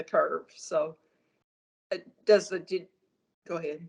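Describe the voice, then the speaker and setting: A woman's medium-pitched voice with a Southern US accent. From US South, northern Arkansas. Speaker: patient. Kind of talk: medical consultation. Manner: halting.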